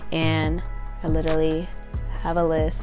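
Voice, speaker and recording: A woman speaks. There is music in the background. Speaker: digital content creator. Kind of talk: casual talk to camera.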